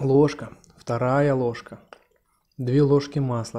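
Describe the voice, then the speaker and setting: A man speaks at a very slow pace, his intonation fairly even. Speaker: food vlogger. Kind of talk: casual vlog chat. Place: home room. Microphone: phone near.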